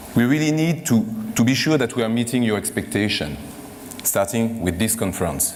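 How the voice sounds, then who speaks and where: A man's medium-pitched voice in a French accent, fairly quick, with very wide pitch swings and very even loudness, plus noticeable background noise and audible room echo. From France. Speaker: corporate executive hosting a conference. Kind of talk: closing remarks at a conference. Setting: stage with audience. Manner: halting, many fillers.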